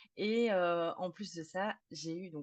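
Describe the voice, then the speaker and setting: A woman speaks in a fairly low voice with fairly even intonation. The background is quiet. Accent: slight Belgian. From Belgium. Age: 30s. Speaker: psychotherapist specialised in sleep disorders. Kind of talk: podcast interview.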